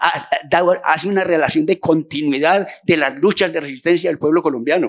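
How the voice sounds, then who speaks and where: A man's high-pitched voice comes at a moderate pace. Noticeable background noise runs underneath. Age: 60s. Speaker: human rights activist, audience member at forum. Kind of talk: public forum intervention. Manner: halting, many fillers and repetitions.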